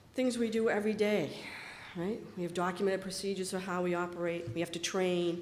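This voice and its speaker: A fairly quick American accent over noticeable background noise. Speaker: convention session instructor on recycling certification. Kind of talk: lecture. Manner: fast.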